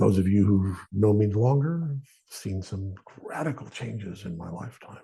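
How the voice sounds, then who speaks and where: Somewhat breathy, a man speaks in a very deep, low pitch with a dark, mellow tone. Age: 60s. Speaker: podcast host. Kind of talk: faith podcast monologue. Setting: studio. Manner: halting, with frequent repetitions.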